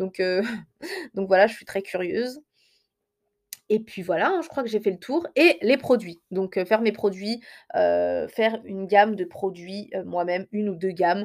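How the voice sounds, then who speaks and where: Over a silent background on a very clean recording, a woman with a medium pitch and ordinary pitch variation speaks at a fairly slow pace, with long, frequent pauses and big swings in loudness. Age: 20s. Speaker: hair care podcaster. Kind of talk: solo podcast monologue. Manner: hesitant with many fillers.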